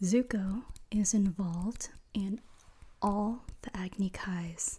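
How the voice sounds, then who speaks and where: Someone is whispering quietly. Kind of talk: ASMR trivia ramble to the listener. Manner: quiet, whispered.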